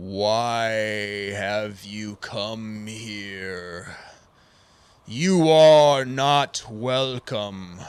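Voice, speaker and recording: Putting on a booming character voice, a man speaks at a medium pitch and a very slow pace, with long, frequent pauses. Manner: hostile, commanding.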